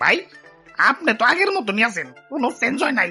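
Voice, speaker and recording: A cartoonish character voice, female-sounding and high in pitch, at a moderate pace over faint music in the background. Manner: teasing, dry.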